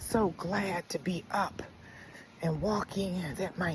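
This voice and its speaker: This woman talks at a very slow pace while noticeable background noise carries on. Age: 60s. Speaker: lifestyle vlogger. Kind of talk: casual vlog monologue. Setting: outdoors, walking. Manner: conversational, rambling with fillers.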